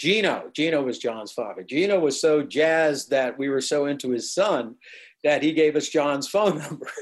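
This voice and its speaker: A man with an American accent uses a normal speaking voice, fairly high in pitch with ordinary variation, at a moderate pace. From New Jersey. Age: 60s. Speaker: musician. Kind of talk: interview recollection.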